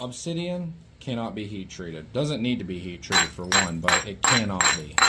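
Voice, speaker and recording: A man's fairly low, mumbled voice with very wide pitch swings and big jumps in loudness, over noticeable background noise and audible room echo. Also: moderate pace. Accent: American. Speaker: flintknapper. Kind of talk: tutorial. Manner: soft-spoken; mumbling.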